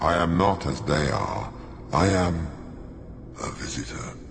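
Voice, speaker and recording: Using a put-on character voice, a man speaks very deep and low at a fairly slow pace, with a clear echo and clear background noise. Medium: machinima. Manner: slow, ominous.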